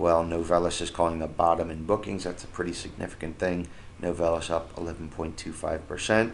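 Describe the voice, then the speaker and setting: In a room with audible echo, a man speaks fairly quickly in a very deep, low voice with monotone, flat intonation. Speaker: stock market commentator. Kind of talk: screen-share market analysis tutorial. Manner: fast; hesitant, many fillers.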